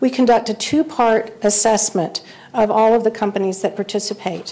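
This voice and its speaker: Speaking at a moderate pace, a woman has a fairly high pitch and a slight Kentucky accent. Noticeable background noise runs underneath. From Central Kentucky. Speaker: awards presenter, survey firm director. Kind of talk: awards ceremony speech.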